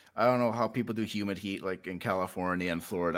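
Talking at a very fast pace in a Canadian prairie accent, a man with a very deep, low pitch and a bright, sharp tone shows ordinary pitch variation. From Saskatchewan, Canada. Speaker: fantasy author. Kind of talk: casual chat.

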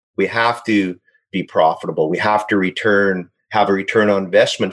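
A man with a Canadian accent talks fairly quickly in a fairly low pitch. It is a plain, everyday voice, set against a quiet background. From Saskatchewan, Canada. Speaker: aquaculture company executive. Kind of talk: interview.

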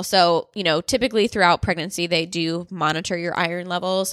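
With a Midwestern American accent, a woman speaks at a fairly quick pace in a bright, sharp tone with a fairly low pitch. Her intonation is fairly even, and the recording is very clean with a silent background. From US Midwest. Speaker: podcast host, dietitian. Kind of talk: casual solo monologue. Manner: chatty, fast.

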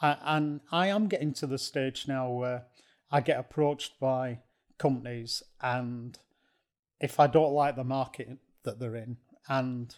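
The man speaks slowly, though only fairly so, at a medium pitch and with ordinary pitch variation. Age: 60s. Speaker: non-executive director, business consultant. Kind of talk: casual interview chat.

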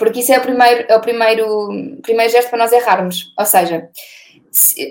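Very fast in pace, a woman speaks with a fairly high pitch. Her pitch variation is ordinary. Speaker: sustainability blogger. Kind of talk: interview. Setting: video call.

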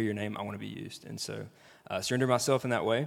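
In a Southern US accent, a man talks at a fairly low pitch with monotone, flat intonation. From Mississippi, Jackson area. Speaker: former missionary. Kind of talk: panel interview. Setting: stage with audience.

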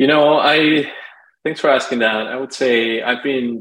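A man with a Spanish accent speaks at a fairly slow pace in a medium pitch, his intonation fairly even. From Lima, Peru. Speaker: marketing agency founder. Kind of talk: interview.

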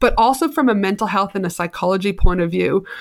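This is a woman speaking. She has a Canadian accent. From Canada. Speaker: business coach. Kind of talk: casual interview.

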